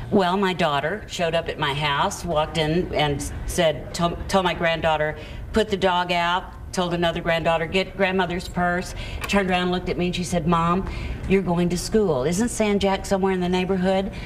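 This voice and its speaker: Over noticeable background noise and audible room echo, a woman with an American accent speaks at a moderate pace with a fairly low pitch and fairly even intonation. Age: 60s. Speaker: returning college graduate. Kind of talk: TV talk show interview.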